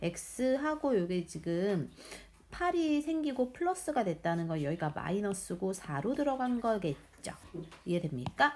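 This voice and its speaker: A woman talks at a medium pitch. Her voice makes very wide pitch swings. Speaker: math teacher. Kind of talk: tutorial. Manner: fast.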